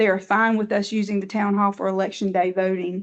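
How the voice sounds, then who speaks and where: A woman talks fairly quickly with a Southern US accent at medium pitch and with fairly even intonation. The background is quiet. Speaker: elections director. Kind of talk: board meeting report. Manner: fast.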